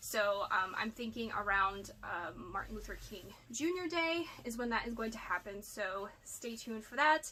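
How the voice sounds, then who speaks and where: Her voice is fairly high, with lively intonation and big swings in loudness. This woman keeps a moderate pace. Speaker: part-time online reseller. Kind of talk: casual haul video monologue. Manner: chatty, rambling with fillers.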